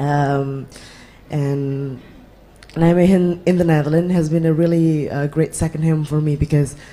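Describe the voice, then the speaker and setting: The speech moves at a moderate pace. Noticeable background noise runs behind it. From Indonesia. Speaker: student activist. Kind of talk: audience question at panel. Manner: halting.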